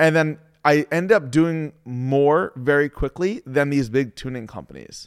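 A man with an unremarkable speaking voice, pitched fairly high, talks at a fairly slow pace with ordinary pitch variation, in a very clean recording with a silent background and a dry, close sound with no echo. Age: 30s. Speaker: car tuner and shop owner. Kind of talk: casual interview. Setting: tuning shop.

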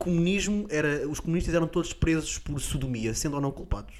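A man with an ordinary speaking voice talks at a fairly quick pace. His fairly high pitch shows ordinary pitch variation. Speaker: comedian podcast co-host. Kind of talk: casual comedic chat.

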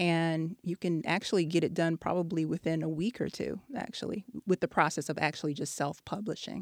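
A woman speaks in an ordinary speaking voice, fairly low in pitch, at a fairly quick pace with hardly any pauses and ordinary pitch variation. The recording is very clean, with a silent background and a dry, close sound free of echo. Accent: American. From Texas. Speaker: author and educator. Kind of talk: interview.

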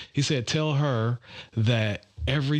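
A man speaks with a normal speaking voice and ordinary pitch variation. His pace is fairly slow. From Detroit, Michigan. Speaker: golf group president. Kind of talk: podcast interview.

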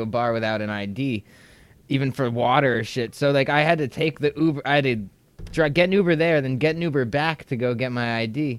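A man with an American accent and a plain, everyday voice speaks at medium pitch and a fairly quick pace with ordinary pitch variation. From New York / New Jersey area. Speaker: stand-up comedian. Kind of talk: casual chat.

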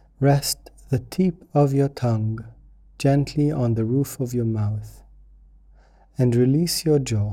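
A man's somewhat breathy, dark and mellow voice at medium pitch, calm and soothing in tone, with ordinary pitch variation, a very slow pace and long, frequent pauses. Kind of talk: guided meditation. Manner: slow, calm, soothing; gentle, unhurried with long pauses.

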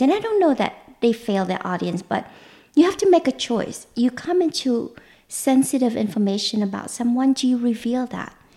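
A woman with a Vietnamese accent speaks in a dark, mellow, somewhat breathy tone. Her intonation is lively. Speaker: mentalist and magician. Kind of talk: interview conversation. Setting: recorded at her home.

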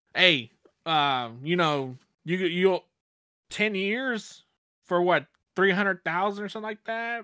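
With an ordinary speaking voice, a man talks at a fairly slow pace with lively intonation, recorded very cleanly against a silent background in a dry, close sound with no echo. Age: 30s. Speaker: podcast host. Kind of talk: casual chat.

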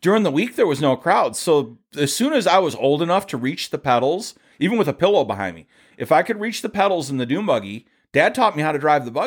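A man with a Michigan accent talks at a very fast pace in an animated tone, his pitch swinging very widely, on a very clean recording with a silent background. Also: fairly high pitch for a man. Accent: Midwestern US (Michigan). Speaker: dune photographer and car fabricator. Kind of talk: casual interview conversation. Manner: talkative, animated storytelling.

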